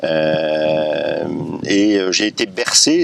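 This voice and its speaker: Noticeable background noise is present throughout. Over it, a man's voice is heard. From northern France (Béthune). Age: 40s. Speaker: political candidate. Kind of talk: interview. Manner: hesitant, many fillers.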